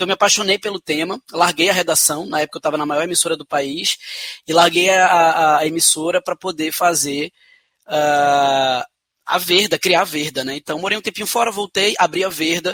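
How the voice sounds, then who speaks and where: A man with a Pernambuco accent speaks at a moderate pace in a high pitch. His tone is bright and sharp, and the sound is dry and close with no echo. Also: ordinary pitch variation. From Brazil, Pernambuco (Recife). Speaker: social entrepreneur. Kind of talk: interview. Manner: hesitant fillers.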